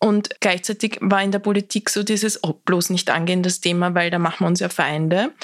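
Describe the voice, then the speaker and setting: With an Austrian accent, a woman speaks at a fairly quick pace with fairly even intonation in a dry, close sound with no echo. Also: medium pitch for a woman. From Austria, southern Lower Austria (Lilienfeld). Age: young. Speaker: political activist, campaign founder. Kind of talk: interview conversation.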